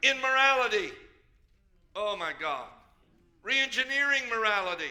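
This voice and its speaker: An animated man speaks in a raised, projected voice at an extremely high pitch. His pitch swings very widely at a moderate pace. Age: 70s. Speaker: pastor. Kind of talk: sermon.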